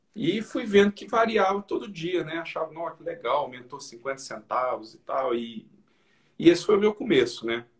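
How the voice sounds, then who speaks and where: A man's somewhat breathy voice moves through very wide pitch swings at a fairly slow pace. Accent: Minas Gerais. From Minas Gerais, Brazil. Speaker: finance educator, investor. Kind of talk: live stream interview. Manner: halting, repeats words.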